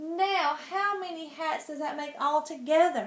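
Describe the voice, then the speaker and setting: A woman uses a put-on character voice at a high pitch. Her pitch variation is ordinary. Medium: read story.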